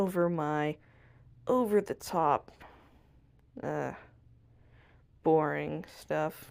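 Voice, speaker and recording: A soft-spoken woman talks at a very slow pace with long, frequent pauses. The recording is very clean, with a silent background. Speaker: art channel creator. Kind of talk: drawing tutorial voiceover. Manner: soft-spoken, very quiet; casual, self-talking.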